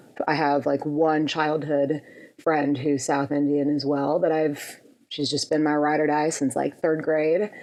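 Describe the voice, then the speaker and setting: In an American accent, a woman speaks at a fairly slow pace with a very deep, low pitch. Her intonation is monotone and flat, and her loudness stays very even. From US Midwest, Minneapolis, Minnesota. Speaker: electronic pop musician. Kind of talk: podcast interview.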